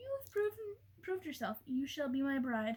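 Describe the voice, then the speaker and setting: A woman puts on a character voice at a high pitch and a moderate pace. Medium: read story. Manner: menacing.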